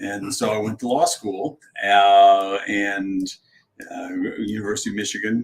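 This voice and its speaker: A man's plain, everyday voice with an American accent, fairly low in pitch with ordinary pitch variation, big swings in loudness and a fairly slow pace. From Virginia, Charlottesville. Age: 60s. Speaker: mayor and lawyer. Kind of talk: interview.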